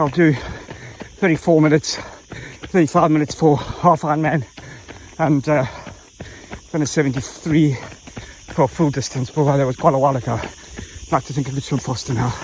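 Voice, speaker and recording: The speech moves at a moderate pace with fairly even intonation. Long pauses come often, over noticeable background noise. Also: man, fairly high pitch for a man. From South Africa. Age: 50s. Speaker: triathlete vlogger. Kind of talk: casual vlog monologue while running. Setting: outdoors on a trail run.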